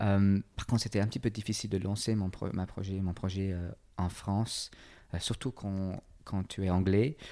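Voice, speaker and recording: The recording is very clean, with a silent background. A man speaks at a fairly slow pace and fairly low pitch, his intonation fairly even. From England. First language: English (speaking French). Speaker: personal trainer and entrepreneur. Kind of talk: interview conversation. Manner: halting.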